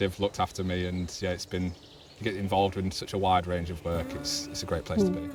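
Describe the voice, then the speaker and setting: Over noticeable background noise, a man with a strong Yorkshire accent speaks very fast in a very deep, low voice with monotone, flat intonation. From West Yorkshire, Huddersfield. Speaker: wildlife trust officer. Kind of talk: casual interview.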